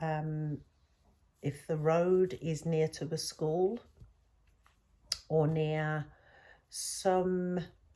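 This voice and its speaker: A woman with a British accent speaks in a very deep, low pitch with a dark, mellow tone and monotone, flat intonation, recorded very cleanly against a silent background. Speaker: spiritual teacher. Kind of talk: spiritual talk. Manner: hesitant, with fillers.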